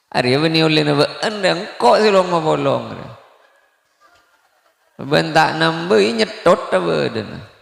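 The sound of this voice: A man with vocal fry and lively intonation, at a fairly slow pace. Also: fairly high pitch for a man.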